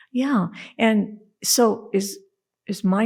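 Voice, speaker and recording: A woman talks with vocal fry in a very clean recording with a silent background. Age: 70s. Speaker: priest and former Zen monk. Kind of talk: casual chat. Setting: studio.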